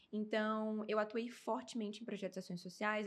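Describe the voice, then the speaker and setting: A woman speaks in an ordinary speaking voice, fairly high in pitch. Her pace is fairly quick. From Brazil, Amazonas. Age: 20s. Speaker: beauty pageant winner. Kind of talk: interview.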